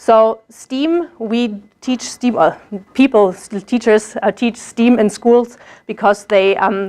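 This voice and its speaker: A woman with a German accent speaks at a fairly high pitch with ordinary pitch variation. The background is quiet. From Germany. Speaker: German language teacher, graduate student. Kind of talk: presentation. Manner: hesitant, many fillers.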